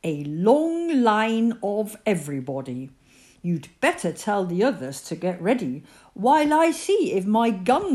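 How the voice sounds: Text read in a natural reading voice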